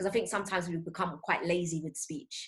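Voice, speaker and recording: A woman with a fairly low pitch speaks in a somewhat breathy voice, her pitch varying in an ordinary way. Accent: London. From London, Tottenham. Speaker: voice over actor and English teacher. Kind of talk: interview.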